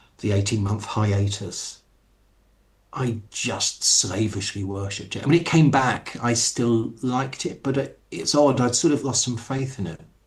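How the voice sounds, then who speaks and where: This man has an English accent and a somewhat breathy voice. He speaks at a fairly slow pace. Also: medium pitch for a man, ordinary pitch variation. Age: 50s. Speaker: writer. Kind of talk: interview.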